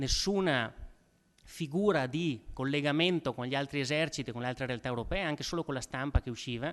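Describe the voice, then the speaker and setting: A man talks at a fairly quick pace with a fairly high pitch and ordinary pitch variation against a quiet background. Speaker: event moderator introducing a historian. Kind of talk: lecture introduction. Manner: halting, frequent repetitions and fillers.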